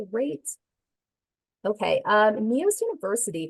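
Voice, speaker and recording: A woman's medium-pitched voice with ordinary pitch variation comes across with a dry sound, no echo and a quiet background. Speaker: software trainer. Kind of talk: webinar tutorial. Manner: fast. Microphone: headset.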